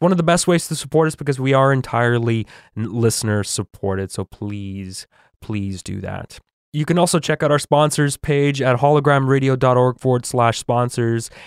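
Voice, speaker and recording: Recorded dry and close with no echo on a very clean track with a silent background, a man with a Western Canadian accent speaks at a medium pitch and moderate pace, with ordinary pitch variation and big swings in loudness. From Canada. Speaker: podcast host recapping cartoon episodes. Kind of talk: casual chat with scripted plot recap.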